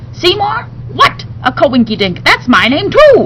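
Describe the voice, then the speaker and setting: Fairly slow speech in a put-on character voice over clear background noise. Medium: read story. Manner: playful, excitable.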